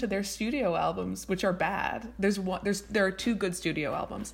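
At a moderate pace, a woman talks with vocal fry. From Montreal and Vermont. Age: 30s. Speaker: writer. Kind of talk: casual chat.

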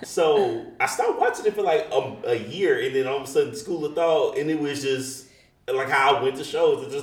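A man's moderately paced speech comes through with noticeable noise in the background. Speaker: podcast host. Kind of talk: casual interview chat.

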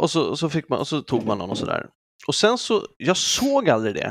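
The voice moves through very wide pitch swings, with a dry, close sound and no echo. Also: man. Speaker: podcast co-host. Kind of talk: casual chat.

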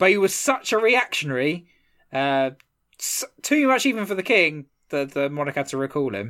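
In a very clean recording with a silent background, a man talks at a fairly quick pace. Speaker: history podcast host. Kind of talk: casual chat with storytelling.

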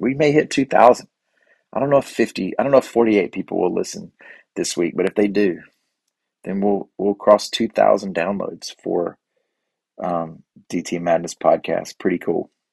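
A man with an American accent speaks with long, frequent pauses in a dry, close sound with no echo. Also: moderate pace. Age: 40s. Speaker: podcast host, high school teacher. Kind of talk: casual solo monologue. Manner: halting, many fillers.

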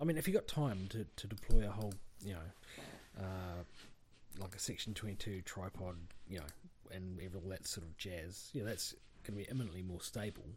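A man's very deep, low, somewhat breathy voice at a fairly quick pace with ordinary pitch variation. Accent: New Zealand. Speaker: farmer, podcast co-host. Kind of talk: casual chat.

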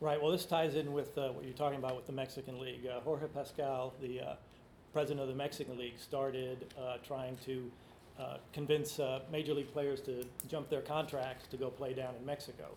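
Somewhat breathy, this voice speaks with an American accent at a fairly quick pace. The intonation is monotone and flat. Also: man, fairly high pitch for a man. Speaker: author and sports writer. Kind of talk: book talk interview. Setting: live event with audience.

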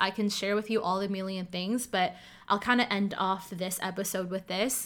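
Recorded very cleanly against a silent background, a woman with a Canadian accent talks at a moderate pace and a medium pitch. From Ottawa, Canada. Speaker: life coach and podcast host. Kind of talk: solo monologue podcast. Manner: animated.

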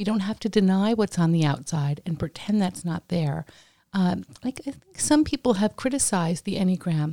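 A woman with a dark, mellow tone and a somewhat breathy voice speaks at a medium pitch and a moderate pace with lively intonation. The sound is dry and close with no echo, on a very clean recording with a silent background. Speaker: podcast co-host. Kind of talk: casual interview chat.

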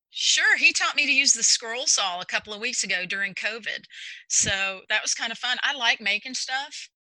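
A woman with an American accent has an unremarkable speaking voice, fairly high in pitch, and lively intonation. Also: moderate pace. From Texas. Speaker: executive functioning coach. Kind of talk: interview.

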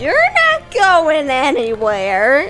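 In a put-on character voice, a female-sounding voice speaks at a high pitch with very wide pitch swings over clear background noise. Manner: stern, scolding.

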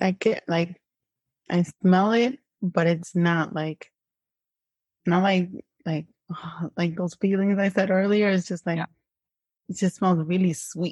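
Somewhat breathy and at medium pitch, a woman speaks at a fairly slow pace with fairly even intonation and long, frequent pauses. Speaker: hypnotherapy client. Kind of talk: casual interview.

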